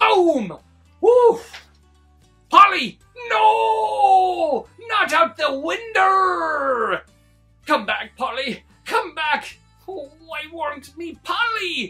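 A man does a put-on character voice at a very slow pace with long, frequent pauses while faint music plays in the background. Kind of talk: read-aloud story for kids. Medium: read story. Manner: gruff, blustery.

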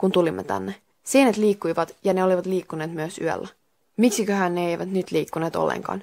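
Ordinary pitch variation runs through an unforced reading voice. The background is quiet.

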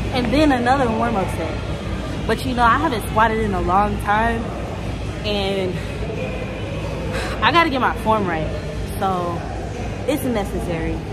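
Clear music plays in the background as a woman speaks at a fairly slow pace with long, frequent pauses. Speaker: vlogger. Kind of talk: casual vlog chat. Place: gym. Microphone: phone near.

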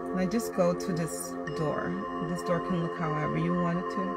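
A woman speaks at a moderate pace. Loud music plays in the background. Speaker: guided meditation host. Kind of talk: guided meditation. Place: car. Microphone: phone near.

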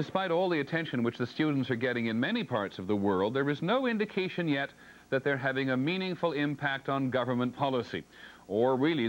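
A man talks at a fairly quick pace with few pauses. His pitch sits in the medium range.

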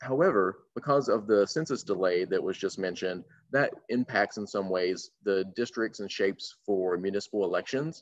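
A man with an American accent speaks at a moderate pace in a normal speaking voice. His pitch is fairly low, with ordinary pitch variation. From North Carolina. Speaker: voter engagement organizer. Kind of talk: panel discussion. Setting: video call.

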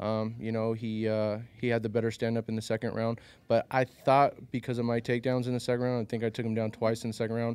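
A man speaks in a flat monotone with a dark, mellow tone, the sound dry and free of echo. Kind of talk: interview answer. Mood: calm, reflective. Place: hall. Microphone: handheld.

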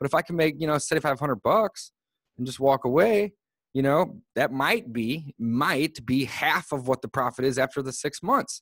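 Over a quiet background, a man talks at a moderate pace with lively intonation and a fairly high pitch, the sound dry with no echo. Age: 30s. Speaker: real estate investor and podcast host; podcast host. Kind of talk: casual interview. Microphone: studio mic.

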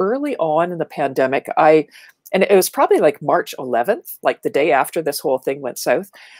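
A woman with a Canadian accent talks at a fairly quick pace, her pitch swinging very widely. Behind her the background is quiet. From Ontario, Canada (small town north of Toronto). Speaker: marketing speaker and educator; speaker, educator. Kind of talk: casual interview chat. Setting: video call. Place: home room. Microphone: earbuds.

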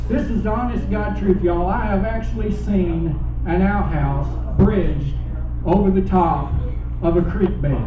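A man with a Southern US accent, very deep and low in pitch, at a fairly slow pace, with audible room echo and noticeable background noise. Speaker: stand-up comedian. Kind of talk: stand-up comedy set. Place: stage.

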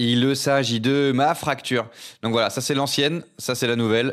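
A man speaks at medium pitch in an animated tone. The recording is very clean, with a silent background. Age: 40s. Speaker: streamer. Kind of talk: casual live stream chat.

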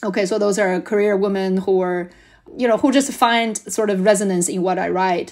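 Speaking with a Chinese accent, a woman of medium pitch keeps a moderate pace and fairly even intonation. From China. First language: Mandarin Chinese. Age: 40s. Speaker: school founder. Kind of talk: interview.

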